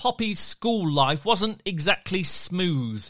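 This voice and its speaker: A man with a British accent speaks at a very slow pace and a high pitch, his tone warm, playful, bright and sharp. His pitch swings very widely, and the sound is dry and close with no echo. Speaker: podcast storyteller. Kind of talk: dramatic story narration for children. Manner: warm, playful and enthusiastic.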